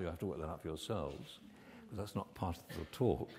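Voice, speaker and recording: A man speaks at a fairly quick pace with a somewhat breathy sound. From United Kingdom. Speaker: medical research scientist. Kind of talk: conference keynote lecture. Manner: soft-spoken. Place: hall.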